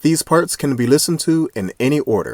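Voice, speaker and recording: Speaking at a moderate pace, a man uses lively intonation, his sound dry and close with no echo. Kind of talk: reading a short introduction.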